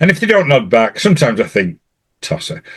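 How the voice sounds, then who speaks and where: With vocal fry, this voice moves at a fairly quick pace through very wide pitch swings. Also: man. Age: 60s. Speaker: podcast host. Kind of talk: casual chat.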